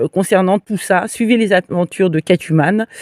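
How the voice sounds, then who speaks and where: A medium-pitched woman at a moderate pace, ordinary pitch variation, dry, close sound with no echo. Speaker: livestreamer. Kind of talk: live stream monologue. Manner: hesitant, many fillers.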